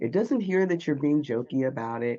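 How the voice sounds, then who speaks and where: A woman talks with lively intonation. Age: 50s. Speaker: speaking coach and former Olympian. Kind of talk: interview.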